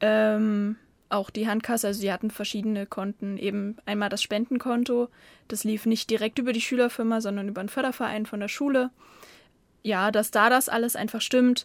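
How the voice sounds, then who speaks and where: Her fairly high voice stays in a monotone, flat intonation as the woman speaks with a dry, close sound and no echo. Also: fairly quick pace. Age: 20s. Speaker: former volunteer. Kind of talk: casual interview. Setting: studio, separate rooms behind glass, headphones.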